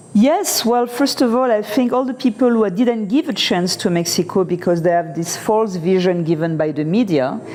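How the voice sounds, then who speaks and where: Over noticeable background noise, a woman talks at a moderate pace with lively intonation and a medium pitch. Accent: French. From France. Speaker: interview guest, expat. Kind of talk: casual interview.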